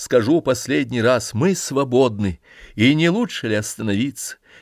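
Reading aloud in a natural voice, the speaker uses lively intonation.

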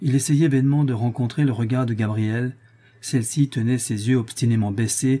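The speaker is reading aloud in a natural voice. The delivery stays that way throughout.

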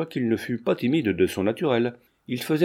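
Against quiet surroundings, lively intonation marks this reading aloud in a natural voice.

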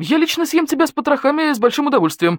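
In a put-on character voice, the speaker races along at a very fast pace with a high pitch. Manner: hysterical.

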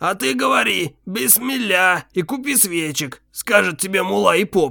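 Using a put-on character voice, a man speaks high in pitch with very wide pitch swings. His pace is moderate. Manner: mocking, imitating.

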